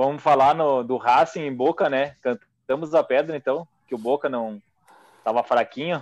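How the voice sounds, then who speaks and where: In a dry, close sound with no echo, a man with a plain, everyday voice and fairly high pitch speaks at a fairly slow pace with ordinary pitch variation. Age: 30s. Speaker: football podcast co-host. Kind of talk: casual chat.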